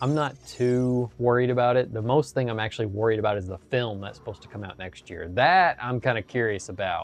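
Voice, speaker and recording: A man talks at a fairly quick pace with hardly any pauses, at a medium pitch with ordinary pitch variation and big swings in loudness. His tone is relaxed, and there is noticeable background noise. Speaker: gaming streamer and indie game developer. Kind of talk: casual live-stream chat while gaming. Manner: relaxed, frequent filler words.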